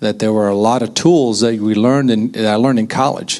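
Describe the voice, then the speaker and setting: Noticeable background noise sits behind a man speaking at a fairly quick pace. His pitch is fairly low and his intonation fairly even. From US South, small town north of Pensacola. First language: Danish. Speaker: entrepreneur, healthcare executive. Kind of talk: panel talk to an audience.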